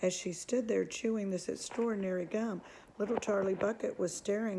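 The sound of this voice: It's an unforced reading voice with fairly even intonation.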